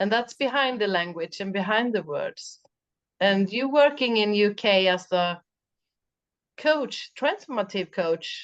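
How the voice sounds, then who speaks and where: Against a quiet background, a woman at a medium pitch speaks fairly slowly with lively intonation. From Sweden. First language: Swedish. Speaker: mental coach. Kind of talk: interview chat. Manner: halting.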